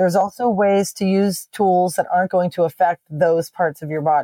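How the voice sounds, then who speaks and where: Dry and close with no echo, a woman's voice has a medium pitch and a dark, mellow tone, moving at a moderate pace with ordinary pitch variation. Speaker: fitness trainer. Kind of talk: interview.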